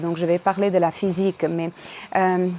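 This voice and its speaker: With a Croatian accent, a woman speaks at a fairly slow pace. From Croatia (Dubrovnik). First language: Croatian (speaking French). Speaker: video blogger, former tour guide. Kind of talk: casual vlog monologue. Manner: hesitant, many fillers.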